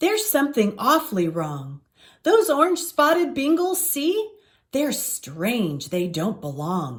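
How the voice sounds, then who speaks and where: Using a put-on character voice, a woman speaks at a high pitch and a fairly slow pace in a very clean recording with a silent background. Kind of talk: rhyming bedtime story. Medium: read story.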